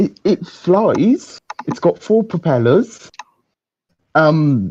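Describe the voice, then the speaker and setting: A man with a high, dark and mellow voice speaks at a very slow pace with very wide pitch swings, recorded dry and close with no echo. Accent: British. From England. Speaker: caller, beginner drone hobbyist. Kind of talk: casual chat. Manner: halting. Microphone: quiet, host turned him up.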